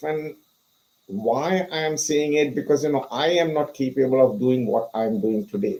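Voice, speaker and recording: In an Indian accent, a man with a dark, mellow tone speaks at a fairly slow pace with ordinary pitch variation. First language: not English; English is his third language. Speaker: pharmacist and author. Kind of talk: interview. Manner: frequent fillers (you know).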